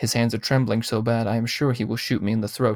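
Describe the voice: In this plain reading aloud, the intonation is fairly even.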